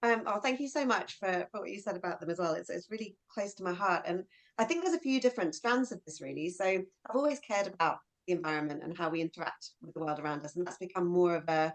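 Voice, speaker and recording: In a London accent, a woman talks at a very fast pace and a medium pitch, with lively intonation and big swings in loudness. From southeast London. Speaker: children's author. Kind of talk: interview at virtual book launch.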